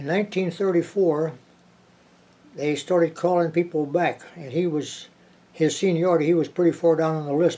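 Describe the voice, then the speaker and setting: Fairly even intonation and a dark, mellow tone in a man's fairly high-pitched voice. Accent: American. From Virginia. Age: 90s. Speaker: navy veteran. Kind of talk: oral history interview. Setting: at home. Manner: halting.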